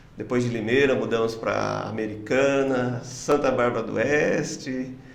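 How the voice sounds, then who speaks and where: A man speaks fairly slowly at medium pitch with fairly even intonation. Audible room echo and noticeable background noise are present. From interior of São Paulo state, Brazil. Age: 60s. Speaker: pastor. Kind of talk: podcast interview.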